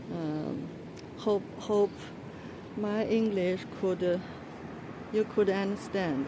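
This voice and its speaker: In a Chinese accent, a woman speaks at a medium pitch with ordinary pitch variation, over noticeable background noise and audible room echo. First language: Mandarin. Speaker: vlogger. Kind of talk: casual walking vlog. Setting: outdoors on a street. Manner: halting, many fillers and repeats.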